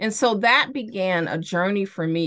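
Bright and sharp in tone, a woman at medium pitch speaks very slowly with lively intonation against a quiet background. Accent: American. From Chicago. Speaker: therapist for athletes. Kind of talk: podcast interview. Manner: repeats words, halting starts.

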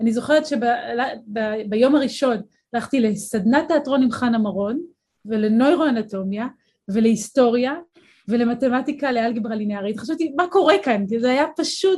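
With ordinary pitch variation, a woman speaks at a moderate pace in a high pitch. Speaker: neuroscience and philosophy professor. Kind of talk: interview. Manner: clear diction.

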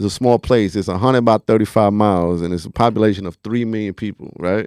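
Speaking very fast in a Bronx accent, a man has a fairly low pitch. The sound is dry and close with no echo, over a quiet background. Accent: New York, Bronx. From The Bronx, New York (Puerto Rican family). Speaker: rap artist. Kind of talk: casual interview chat. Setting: studio.

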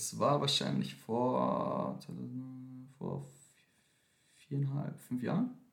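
Room echo is audible as a man speaks at a very slow pace. He leaves long, frequent pauses. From Austria, Vienna. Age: 20s. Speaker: dancer and dance teacher. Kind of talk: casual chat. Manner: mixes German and English.

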